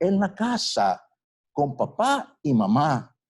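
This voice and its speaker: The voice is somewhat breathy, with very wide pitch swings. The recording is very clean, with a silent background. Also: man. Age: 60s. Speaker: doctor. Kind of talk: lecture. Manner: animated.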